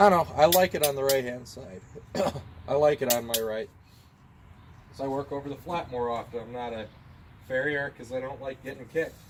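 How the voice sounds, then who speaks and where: A man talks at a fairly quick pace, his loudness swinging widely and his speech broken by long, frequent pauses. His pitch is medium, with ordinary variation. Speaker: hobby blacksmith. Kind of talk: casual talk while working.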